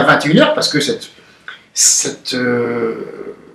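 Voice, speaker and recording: Male speech carrying audible echo from the room, with noticeable noise in the background. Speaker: nationalist activist interviewed after police custody. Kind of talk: interview. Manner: loud.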